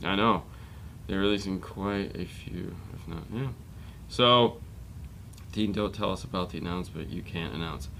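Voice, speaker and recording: A man with a very deep, low pitch, vocal fry and a bright, sharp tone uses ordinary pitch variation and leaves long, frequent pauses. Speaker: car audio show host. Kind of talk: casual chat. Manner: fast.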